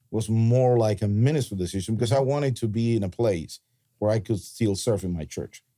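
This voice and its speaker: A man speaks in a dark, mellow tone at a fairly low pitch, with a Cuban accent and ordinary pitch variation. The recording is very clean, with a silent background. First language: Spanish. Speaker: pastor. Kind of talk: podcast conversation.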